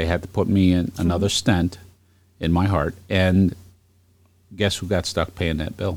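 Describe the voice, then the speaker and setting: In an American accent, a man talks with a very deep, low pitch. His intonation is monotone and flat, with long, frequent pauses. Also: moderate pace. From Brooklyn, New York. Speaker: podcast host. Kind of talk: casual political chat.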